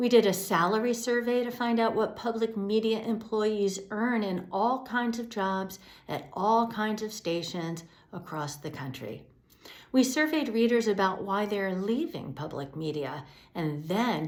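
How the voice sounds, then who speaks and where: A woman with an American accent, medium in pitch, lively in intonation, with audible room echo. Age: 60s. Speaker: executive director of a public media news outlet. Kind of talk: scripted address to supporters.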